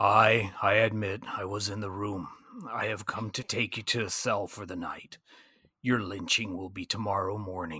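Over a silent background in a very clean recording, a man does a raspy put-on character voice. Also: fairly low pitch for a man, moderate pace. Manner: calm, measured.

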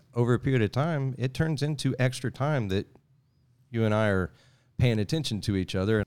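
Speaking in a Southeast Texas accent, a man shows ordinary pitch variation. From Southeast Texas (Sour Lake). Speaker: world traveler and outdoors video creator. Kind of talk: casual chat.

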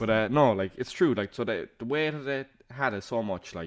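With a Cork accent, a man talks with lively intonation. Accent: Cork Irish. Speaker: podcast co-host. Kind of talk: casual chat.

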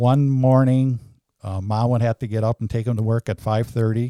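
The recording is very clean with a silent background, and a man speaks at a moderate pace in a dry, close sound with no echo. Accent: American. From Wisconsin, US Midwest. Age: 60s. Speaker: church handyman. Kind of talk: interview.

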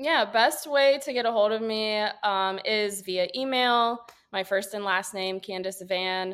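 In a Midwestern American accent, a woman speaks at a fairly slow pace with a fairly high pitch and ordinary pitch variation. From Northeast Ohio, Wooster. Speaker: real estate agent. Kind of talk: interview.

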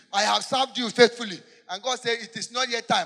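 A raised, projected voice with a bright, sharp tone, fairly even intonation and a fairly quick pace. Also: man. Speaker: preacher leading congregation in prayer. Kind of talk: fervent warfare prayer led from the pulpit, call-and-response with congregation. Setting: church with congregation. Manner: loud, urgent, emphatic preaching with rhetorical questions.

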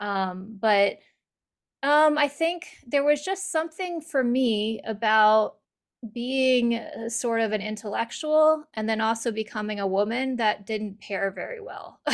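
Lively intonation marks this woman's fairly high voice, an unremarkable speaking voice. The recording is very clean, with a silent background. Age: 40s. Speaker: author. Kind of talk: casual chat.

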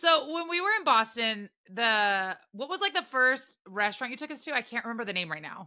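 A woman speaks at a fairly quick pace in a high pitch, with a bright, sharp tone and very wide pitch swings. Her loudness swings a lot, and the recording is very clean with a silent background. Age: 40s. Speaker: podcast host. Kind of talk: casual chat.

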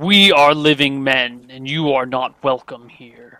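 At a fairly slow pace, the speaker uses a put-on character voice. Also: man. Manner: menacing, hostile.

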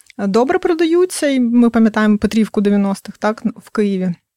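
A woman with a normal speaking voice and fairly high pitch speaks at a moderate pace, the sound dry and close with no echo. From northern Crimea, Ukraine. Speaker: fantasy novelist. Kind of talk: interview.

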